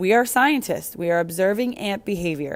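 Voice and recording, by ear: A passage is read aloud in a natural voice.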